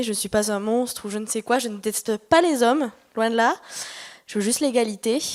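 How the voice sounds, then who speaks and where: The woman's pitch is fairly high, with ordinary pitch variation. She speaks at a fairly quick pace. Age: 20s. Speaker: audience member at conference. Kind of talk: audience comment at workshop Q&A. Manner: hesitant, many fillers.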